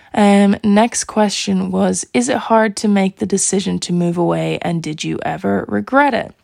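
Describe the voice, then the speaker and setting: In an Irish accent, a woman speaks at a moderate pace. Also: hardly any pauses. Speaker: podcast host. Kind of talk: casual solo chat.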